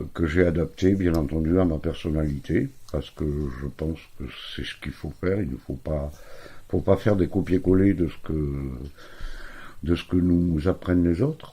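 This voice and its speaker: Somewhat breathy and very deep in pitch, a man speaks at a moderate pace with a dark, mellow tone, ordinary pitch variation, and long, frequent pauses. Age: 60s. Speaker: therapist. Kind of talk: self-introduction video. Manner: halting, many fillers.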